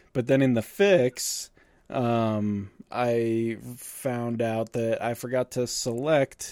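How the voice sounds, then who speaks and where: Very slow speech from a man at a medium pitch, with ordinary pitch variation. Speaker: podcast host. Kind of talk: casual chat. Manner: casual, profane, chatty.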